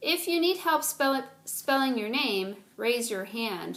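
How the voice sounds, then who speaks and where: Using a put-on character voice, a woman speaks high and fairly slowly with very wide pitch swings, on a very clean recording with a silent background. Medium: read story. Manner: calm, gentle.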